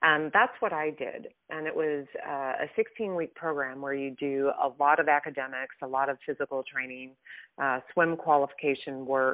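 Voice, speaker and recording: A woman with a very deep, low pitch talks at a moderate pace with fairly even intonation. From US Midwest. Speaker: former fighter pilot and author. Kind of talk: interview.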